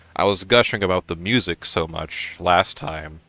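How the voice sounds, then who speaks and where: A man's voice with a dry, close sound and no echo, set against music in the background. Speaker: gaming YouTuber. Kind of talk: let's play commentary. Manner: halting, many fillers.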